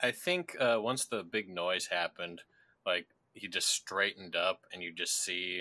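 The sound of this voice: The voice is an unforced reading voice. It stays that way throughout.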